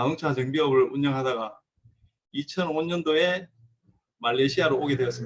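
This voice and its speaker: A fairly high-pitched man with a strong Gyeongsang accent and ordinary pitch variation. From South Korea, Gyeongsang region. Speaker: car mechanic and repair shop owner. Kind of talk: lecture.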